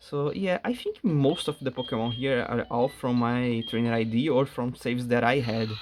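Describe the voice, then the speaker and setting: A man with a Portuguese accent talks at a medium pitch with fairly even intonation while music plays in the background. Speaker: gaming YouTuber. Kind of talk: casual gameplay commentary. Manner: halting.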